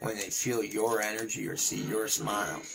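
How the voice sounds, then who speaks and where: A man speaks at a moderate pace with a fairly low pitch. Audible room echo and noticeable background noise are present. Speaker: gaming streamer and beatboxer. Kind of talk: live gameplay stream chat. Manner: repetitive stammering.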